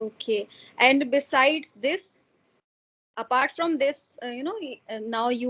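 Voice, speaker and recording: A woman's high voice moves at a moderate pace, its pitch varying in an ordinary way. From India, Mathura. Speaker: homemaker and YouTuber. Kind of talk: casual conversation practice. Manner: hesitant, many fillers.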